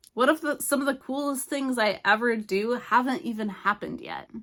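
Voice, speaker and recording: A woman speaks at a high pitch and a moderate pace. Her tone is bright and sharp. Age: 40s. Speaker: YouTuber, lifestyle vlogger. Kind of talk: casual motivational talk to camera. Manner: chatty, informal.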